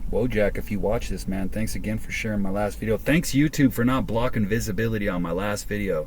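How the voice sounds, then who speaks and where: Noticeable background noise and audible room echo surround the recording. A man talks at a very fast pace with hardly any pauses. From US West Coast (Southern California). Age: 40s. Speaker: vlogger. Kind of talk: casual vlog monologue. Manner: freestyled, unscripted.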